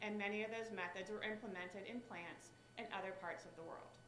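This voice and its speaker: A woman with an American accent, fairly high-pitched and fairly quick, amid noticeable background noise and audible room echo. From West Virginia. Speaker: state director for a senator. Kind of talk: speech.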